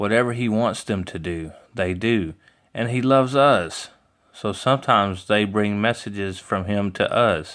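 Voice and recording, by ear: Someone is reading aloud in a natural voice, and the pitch moves in an ordinary way.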